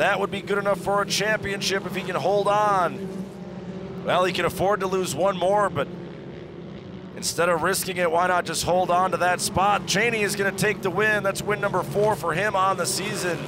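Noticeable background noise sits behind an animated man with a high pitch. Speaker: race commentator. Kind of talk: live race commentary. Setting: race track broadcast. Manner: animated, fast-paced play-by-play; excitable, urgent, with casual banter.

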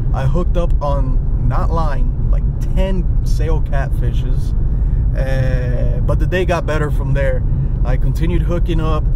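At a fairly slow pace, a man talks against loud background noise in a dry recording with no echo. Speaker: fishing vlogger. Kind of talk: casual vlog chat. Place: car. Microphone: phone near.

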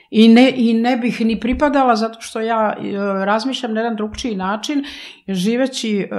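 Against a quiet background, a woman speaks at a moderate pace with ordinary pitch variation. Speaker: interview guest. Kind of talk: interview answer. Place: studio. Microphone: studio mic.

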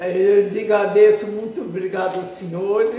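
A woman at a very slow pace with lively intonation, audible room echo and light background noise. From Minas Gerais, Brazil. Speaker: care home resident. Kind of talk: interview answer. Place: home room. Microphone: phone near.

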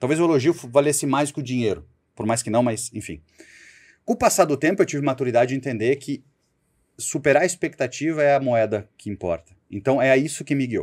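This man's voice sits at a medium pitch and is an unremarkable speaking voice. He talks at a fairly quick pace with ordinary pitch variation. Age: 40s. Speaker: sales executive. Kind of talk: interview.

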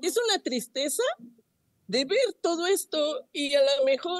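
With lively intonation, a woman talks in a dry, close sound with no echo. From Mexico, Chalco (State of Mexico). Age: 50s. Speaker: flood-affected resident. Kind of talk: on-site news interview.

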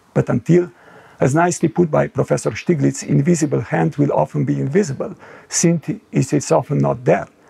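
Quiet surrounds the recording. A man's speech comes at a moderate pace. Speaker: panel co-chair. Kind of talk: prepared conference address. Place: home room. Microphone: lapel.

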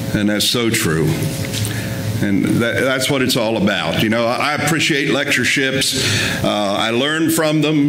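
Faint music plays in the background as a man speaks at a moderate pace with ordinary pitch variation and very even loudness, his voice carrying audible room echo. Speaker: guest preacher at a lectureship. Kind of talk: sermon. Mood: warm, lightly humorous. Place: church. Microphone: podium.

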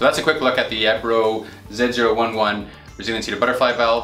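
Amid audible room echo and faint background music, a man talks with fairly even intonation. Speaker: presenter. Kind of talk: product presentation. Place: office.

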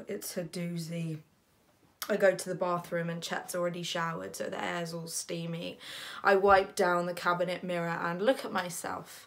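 The speaker is a woman. She keeps to a moderate pace. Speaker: actor. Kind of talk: dramatic monologue. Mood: groggy, exasperated. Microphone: phone near.

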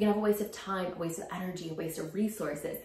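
The speech moves at a fast pace with a slightly mellow tone, fairly even intonation and audible room echo. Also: woman, fairly low pitch for a woman.

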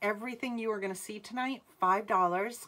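Bright and sharp in tone, a woman speaks at a fairly slow pace. Her pitch varies in an ordinary way. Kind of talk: live sales stream chat. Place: home room. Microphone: phone near.

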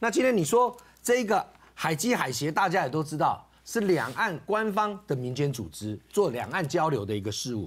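This man speaks at a moderate pace with very wide pitch swings. Vocal fry runs through his voice. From Taiwan. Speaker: political commentator. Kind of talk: talk show debate. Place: studio.

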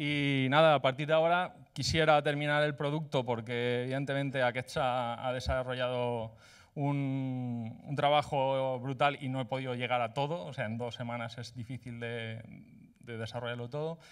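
Over a quiet background, a man talks at a moderate pace, his intonation fairly even. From Spain, Valencia; Spain. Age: 30s. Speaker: coding bootcamp graduate presenting project; presenter. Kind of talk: project demo presentation. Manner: hesitant, many filler sounds. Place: hall. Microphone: handheld.

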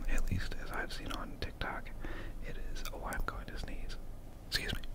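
A man speaks over loud background noise. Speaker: online content creator. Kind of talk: casual vlog chat. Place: home room. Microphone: studio mic.

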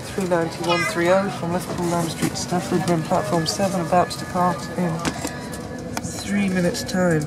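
Loud background noise fills the recording. Over it, a man talks fairly quickly. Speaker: train travel vlogger. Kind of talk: casual travel vlog narration. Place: train. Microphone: phone near.

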